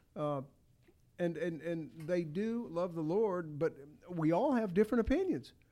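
Dark and mellow in tone, the voice moves at a moderate pace. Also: man. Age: 60s. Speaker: Bible study group member. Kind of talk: casual Bible study discussion.

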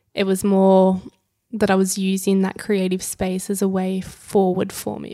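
The speaker is a woman with an Australian accent and a dark, mellow tone. Her pitch is medium and her pace moderate. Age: 20s. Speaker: influencer and blogger. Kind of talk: casual interview chat.

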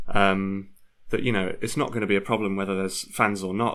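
At a very fast pace, a man with a Yorkshire accent speaks with a fairly low pitch. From Leeds, northern England. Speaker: football fan. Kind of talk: casual chat.

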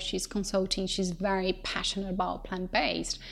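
A woman with a Portuguese accent speaks at a medium pitch on a very clean recording with a silent background. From Brazil. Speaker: company co-founder. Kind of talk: interview.

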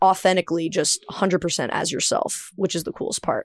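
In an ordinary speaking voice, a woman talks at medium pitch with an American accent. The sound is dry and close with no echo, on a very clean recording with a silent background. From US South. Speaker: podcast host and singer. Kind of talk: scripted outro; casual interview chat.

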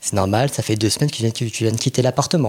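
A man speaks with lively intonation. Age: 30s. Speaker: podcast guest, communications worker. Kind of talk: casual interview. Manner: hesitant, many fillers.

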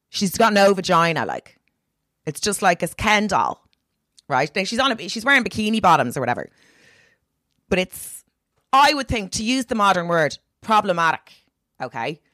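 A woman with an Irish accent speaks at a medium pitch, her pitch swinging very widely and her speech broken by long, frequent pauses. The sound is dry and close, with no echo. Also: moderate pace. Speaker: comedian. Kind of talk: casual chat. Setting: video call. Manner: animated.

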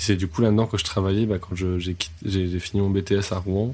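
A man's very deep, low voice, somewhat breathy, in a monotone, flat intonation. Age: 20s. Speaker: music photographer. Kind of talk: casual interview chat. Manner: hesitant, repeats words.

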